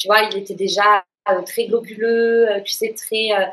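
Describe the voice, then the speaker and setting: The woman's voice sits at a fairly high pitch. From southern France, Toulouse. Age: 30s. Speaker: patient sharing testimony. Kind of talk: testimony in casual interview. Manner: hesitant, many fillers.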